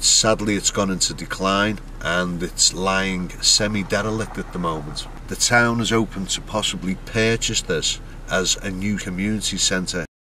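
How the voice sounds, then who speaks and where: A man speaks with a Liverpool accent at a moderate pace. Background noise is noticeable. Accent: Scouse. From Liverpool, England. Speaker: travel vlogger. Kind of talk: travelogue narration and casual interviews.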